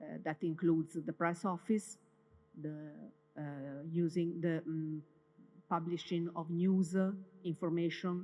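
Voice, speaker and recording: This woman has an Italian accent and a fairly low pitch. Her intonation stays fairly even. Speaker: university communications head. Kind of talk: welcome day presentation. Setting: stage with audience. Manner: halting, with many fillers.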